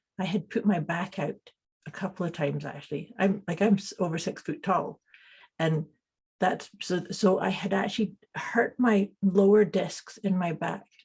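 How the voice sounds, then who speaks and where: Speaking in a Scottish accent at a moderate pace, a woman has a somewhat breathy voice of medium pitch with fairly even intonation. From Scotland. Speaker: intuitive coach and energy healer. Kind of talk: interview.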